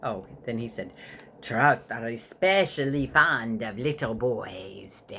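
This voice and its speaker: This put-on character voice is low in pitch and delivered at a fairly slow pace. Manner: evil.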